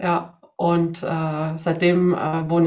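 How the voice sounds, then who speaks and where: A woman's very deep, low voice with audible room echo. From Sweden. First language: Swedish (bilingual with German) (speaking German). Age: 40s. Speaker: job application coach. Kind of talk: interview.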